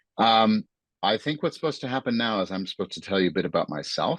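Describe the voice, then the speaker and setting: An American accent comes through in a dry, close sound with no echo. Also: man, quiet background. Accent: American accent noticeable. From United States. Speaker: arts producer and writer. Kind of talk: talk in online dialogue. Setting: online video event. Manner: hesitant, many fillers.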